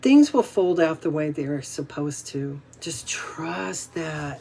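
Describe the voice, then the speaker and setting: Speaking very slowly with a very deep, low pitch and ordinary pitch variation, a woman is heard over noticeable background noise. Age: 60s. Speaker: inspirational vlogger. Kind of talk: casual motivational talk to camera. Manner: halting, with many fillers and repeats.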